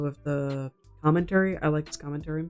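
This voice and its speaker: Music plays in the background as a quiet woman with a very deep, low pitch speaks at a very fast pace in a monotone, flat intonation. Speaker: youtuber. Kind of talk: casual chat. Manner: speaking quietly; rambling.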